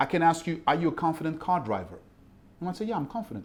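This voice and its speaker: In a French accent, a man speaks with lively intonation. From Ivory Coast. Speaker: mindset coach. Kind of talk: interview.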